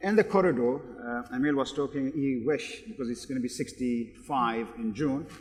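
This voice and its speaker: This man's fairly high voice comes through noticeable background noise. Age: 60s. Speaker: business executive and keynote speaker. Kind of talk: panel discussion.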